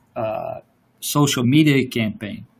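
This man's delivery is somewhat breathy and shows ordinary pitch variation. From Louisiana. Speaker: podcast guest. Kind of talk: casual political discussion. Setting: remote online call, mic problems. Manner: halting, many fillers.

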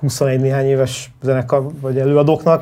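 The voice is somewhat breathy with a dark, mellow tone and a moderate pace. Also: man. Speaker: music festival co-founder. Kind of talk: casual interview.

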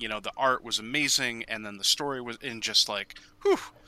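A man speaks at a medium pitch with a bright, sharp tone. His pace is moderate, and his pitch varies in an ordinary way. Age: 30s. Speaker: podcast co-host. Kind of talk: casual chat.

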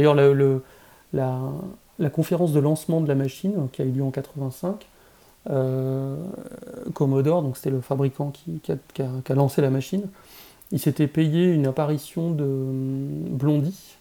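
Long, frequent pauses in fairly slow speech, with a dark, mellow tone and ordinary pitch variation. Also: man, fairly high pitch for a man. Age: 40s. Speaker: game developer. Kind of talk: casual chat.

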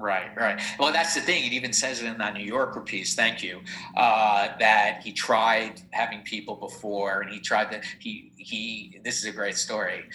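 Amid noticeable background noise, a man speaks at a moderate pace with hardly any pauses, medium pitch, and ordinary pitch variation. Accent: American. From New Jersey. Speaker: entrepreneur and business adviser. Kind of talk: casual interview.

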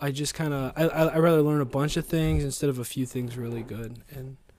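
This man's voice sits fairly high in pitch, with noticeable background noise behind it. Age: 30s. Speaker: podcast host, father. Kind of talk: casual chat with his child.

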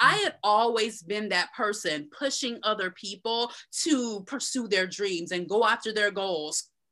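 In an American accent, a woman speaks at a fairly slow pace and fairly high pitch, with ordinary pitch variation and an energetic, bright, sharp tone. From Tampa, Florida. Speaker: blogger and blog coach. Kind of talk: interview.

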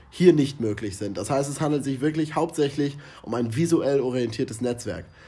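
A man's somewhat breathy voice, fairly high in pitch, dark and mellow in tone, with lively intonation at a moderate pace. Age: 20s. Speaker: marketing podcast co-host, student. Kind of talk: scripted podcast discussion.

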